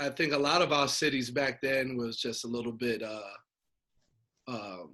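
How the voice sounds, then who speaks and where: A man with a New York accent, at a fairly slow pace. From Brooklyn, New York. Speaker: nonprofit founder. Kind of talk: interview.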